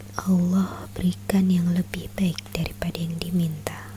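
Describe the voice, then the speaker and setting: Calm and soft-spoken, a woman talks very slowly with fairly low pitch and very wide pitch swings amid noticeable background noise. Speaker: ASMR content creator. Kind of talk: soft-spoken ASMR book reading, religious storytelling. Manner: soft-spoken, calm.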